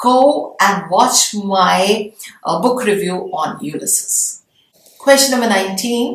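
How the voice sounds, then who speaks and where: A woman with an Indian accent, medium pitch and ordinary pitch variation at a very slow pace. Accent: Indian intonation. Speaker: English literature professor. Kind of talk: lecture. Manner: explanatory, measured.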